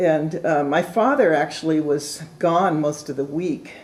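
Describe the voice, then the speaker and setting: The speaker has a West Coast accent and ordinary pitch variation. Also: woman. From Oregon (Portland, Salem). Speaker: retired law librarian. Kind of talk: oral history interview.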